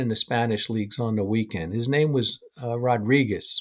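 In a very clean recording with a silent background, a man speaks at a fairly slow pace. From New York City (Brooklyn). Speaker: baseball scout. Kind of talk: interview, storytelling.

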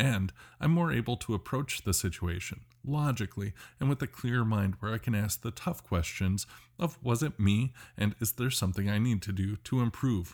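On a very clean recording with a silent background, a somewhat breathy man of medium pitch speaks at a moderate pace with lively intonation. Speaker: podcast host and painter. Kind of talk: solo podcast monologue. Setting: home art studio.

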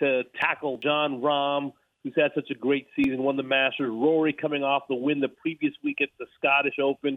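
A man speaks at a moderate pace with an American accent, his pitch fairly high for a man. It is an unremarkable speaking voice. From Los Angeles. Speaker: golf broadcaster. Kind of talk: interview.

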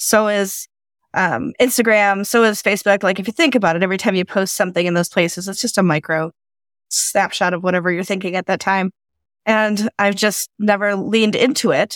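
A woman with a plain, everyday voice speaks at a fairly quick pace and medium pitch, with ordinary pitch variation, in a dry, close recording with no echo. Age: 50s. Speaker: podcast host and community organizer. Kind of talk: casual panel chat. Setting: video call.

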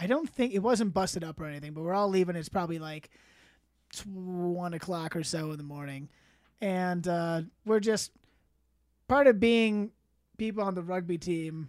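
Speaking at a moderate pace with long, frequent pauses, a man with a high pitch shows ordinary pitch variation and big swings in loudness on a very clean recording with a silent background. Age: 30s. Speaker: storytelling guest, comedian's friend. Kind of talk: storytelling in casual chat.

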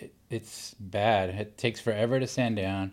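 With an unremarkable speaking voice, a man talks at a fairly slow pace, his fairly low pitch kept to fairly even intonation. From Southern California, Laguna Beach. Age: 60s. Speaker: helmet painter, former pro surfer. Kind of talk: casual interview.

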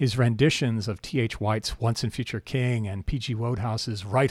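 A man with an American accent speaks at a moderate pace and a medium pitch, in an ordinary speaking voice. The recording is very clean, with a silent background. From Alaska (Anchorage). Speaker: memoir author and narrator. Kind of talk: scripted narration.

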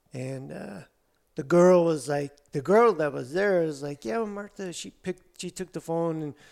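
A man speaks in a fairly high pitch at a moderate pace, with ordinary pitch variation. He has an unremarkable speaking voice on a very clean recording with a silent background. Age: 50s. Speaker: mountain biker recovering from injury. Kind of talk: personal story interview. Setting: home living room.

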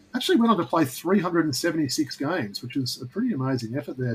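A man talks very fast with an Australian accent. His voice is high, with lively intonation. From Australia, Perth. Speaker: basketball podcast host. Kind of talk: casual podcast chat.

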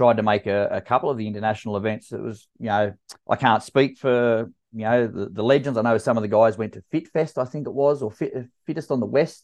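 Delivered at a very fast pace with fairly even intonation, the speech comes in an Australian accent. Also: man, quiet background. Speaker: masters fitness athlete and event organizer. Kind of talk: casual interview.

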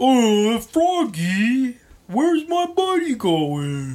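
This put-on character voice sits at a fairly high pitch and moves at a very slow pace. Its pitch swings very widely. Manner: dopey, cartoonish.

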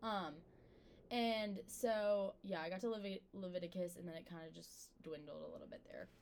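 In a normal speaking voice, a woman talks at a moderate pace and medium pitch, with ordinary pitch variation and big swings in loudness. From Maryland, Baltimore. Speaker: college student. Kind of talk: testimony.

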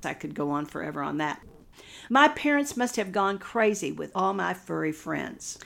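A woman with a Texan accent at a moderate pace. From Texas, Hill Country. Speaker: nutritionist and podcast host. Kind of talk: casual monologue.

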